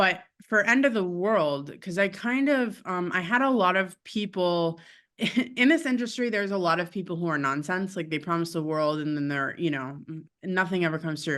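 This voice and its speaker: Against a quiet background, a woman with an American accent speaks at a moderate pace in a fairly low pitch with lively intonation. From Connecticut, US. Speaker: rock musician and attorney. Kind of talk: interview. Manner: hesitant, many fillers.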